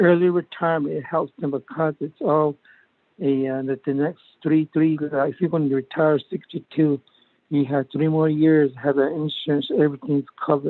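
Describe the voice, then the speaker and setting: Fairly even intonation shapes this man's speech. He has an American accent and a fairly high pitch. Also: moderate pace. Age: 60s. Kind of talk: committee meeting discussion. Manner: halting.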